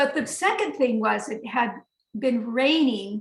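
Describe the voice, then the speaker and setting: A high-pitched woman's voice at a fairly slow pace, with lively intonation. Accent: American. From United States. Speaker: herbalist and trip leader. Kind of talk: storytelling in a webinar conversation. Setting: webinar.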